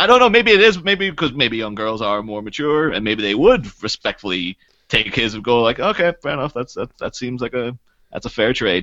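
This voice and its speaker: Lively intonation lifts a man's unremarkable speaking voice, pitched medium and delivered at a fairly quick pace. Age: 30s. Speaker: podcast co-host appearing as guest. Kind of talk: casual chat.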